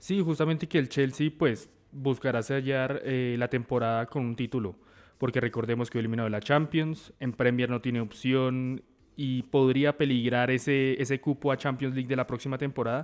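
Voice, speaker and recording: Moderately paced, a man with an unremarkable speaking voice talks at a medium pitch with fairly even intonation. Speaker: sports journalist. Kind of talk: sports panel discussion.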